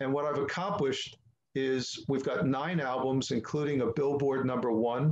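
This man has a fairly high-pitched voice. He talks at a fairly slow pace. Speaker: musician. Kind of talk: interview answer. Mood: proud, upbeat. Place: home room. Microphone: webcam.

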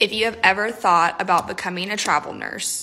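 A woman with an American accent, upbeat in tone, at a moderate pace. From Texas. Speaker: travel nurse. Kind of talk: tips video. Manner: upbeat, chatty. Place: home room. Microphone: phone near.

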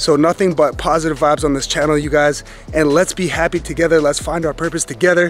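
A man speaks at a fairly quick pace. The sound is dry with no echo, with faint music in the background. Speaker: family vlogger. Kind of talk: casual vlog chat. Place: waterside. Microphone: phone near.

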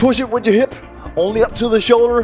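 Over faint background music, a man speaks with a high pitch. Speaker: personal trainer. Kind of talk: workout class instruction. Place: gym. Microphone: headset.

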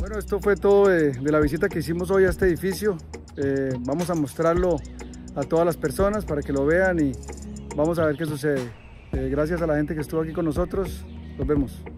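A man talks at a fairly quick pace with ordinary pitch variation. Clear music plays in the background, and the sound is dry with no echo. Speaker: vlogger touring an abandoned site. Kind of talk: casual vlog chat. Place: open country. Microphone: phone near.

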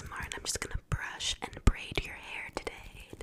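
A whispering woman, fairly quick in pace. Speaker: ASMR creator. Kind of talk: soft-spoken ASMR roleplay. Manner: soft, close-mic ASMR voice. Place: home room. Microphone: studio mic.

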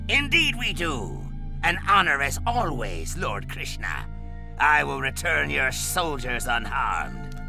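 Loud music plays behind a man doing a cartoonish character voice at a fairly slow pace. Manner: brash, scoffing, laughs at others.

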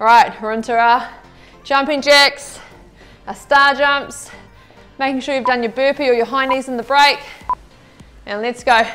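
Clear music plays in the background as a woman with a high pitch speaks at a fairly slow pace, leaving long, frequent pauses. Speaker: fitness instructor. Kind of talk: workout coaching cues. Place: studio.

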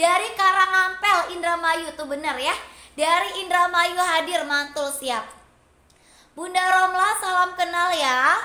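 A raised, projected voice at a very slow pace, with ordinary pitch variation and audible room echo. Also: woman, extremely high pitch for a woman. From Cirebon, West Java. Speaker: online seller. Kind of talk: live-stream sales pitch. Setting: live stream to online audience. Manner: warm, chatty, effusive. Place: shop. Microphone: phone near.

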